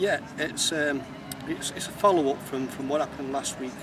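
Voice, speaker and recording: A man talks at a fairly quick pace. Noticeable background noise sits under a dry sound with no echo. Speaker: interviewee. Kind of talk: interview answer. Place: street.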